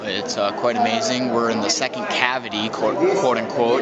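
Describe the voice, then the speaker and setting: A man speaks over loud background noise. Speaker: tourist vlogger. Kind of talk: casual vlog chat. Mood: awed, enthusiastic. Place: tunnel cave. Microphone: phone near.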